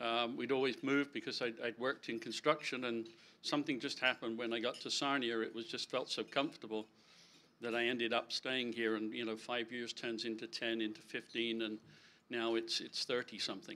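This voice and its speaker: The voice has a bright, sharp tone and flat, monotone intonation, moving at a fairly quick pace. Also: man, medium pitch for a man. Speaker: election candidate. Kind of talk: candidate speech at public meeting. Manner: halting, many fillers and repeats.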